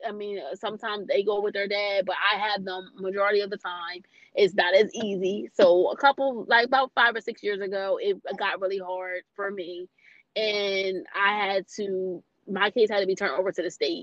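An ordinary speaking voice from a woman at medium pitch, moderate pace and fairly even intonation, in a dry, close sound with no echo. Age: 30s. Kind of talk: casual interview.

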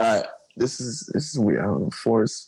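A man's dark, mellow voice with an American accent. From New Jersey (East Orange). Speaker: scooter rider. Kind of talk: casual chat.

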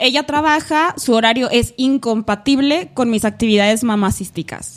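A woman speaks with a Mexican accent at a high pitch. Her pace is fairly slow and her intonation lively. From Mexico, Aguascalientes. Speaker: podcast co-host. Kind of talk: casual chat.

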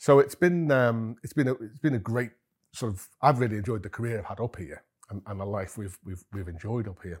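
Somewhat breathy, a man speaks at a medium pitch and a fairly quick pace with lively intonation. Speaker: managing director, cheesemaker. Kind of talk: interview conversation. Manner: hesitant, many fillers.

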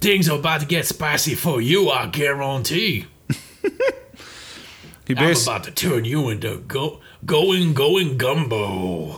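A man's put-on character voice, fairly high in pitch, at a fairly slow pace with long, frequent pauses. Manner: playful, menacing.

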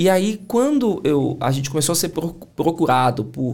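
A man speaks with a Bahian accent. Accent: Bahian Brazilian Portuguese. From Bahia, Brazil (Salvador). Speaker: entrepreneur and sales mentor. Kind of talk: casual chat.

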